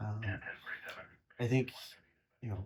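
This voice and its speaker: This man has an American accent. His intonation stays fairly even. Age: 20s. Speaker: police detective. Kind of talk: interview answer. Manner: casual, conversational.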